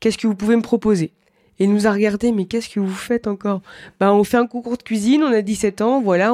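A dark, mellow voice keeps very even loudness and fairly even intonation at a fairly quick pace, with a dry, close sound with no echo on a very clean recording with a silent background. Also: woman. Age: 20s. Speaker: chef. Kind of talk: interview testimony.

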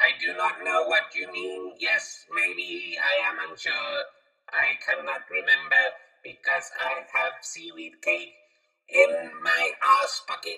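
Put on as a robotic character, the voice is extremely high in pitch and moves at a fairly slow pace.

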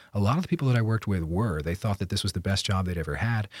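On a very clean recording with a silent background, a man with an American accent speaks in a fairly low, somewhat breathy voice. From eastern Pennsylvania, Slate Belt. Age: 20s. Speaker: former poker dealer. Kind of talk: interview. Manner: hesitant, with fillers.

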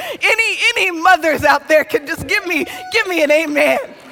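With noticeable background noise behind her, a woman uses a raised, projected voice and lively intonation at a moderate pace. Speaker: pastor. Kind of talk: sermon. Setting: church with live audience.

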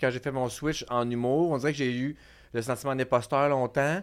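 In a very clean recording with a silent background, a man with an unremarkable speaking voice talks at a moderate pace, his medium pitch held to fairly even intonation. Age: 40s. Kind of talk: casual chat. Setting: studio.

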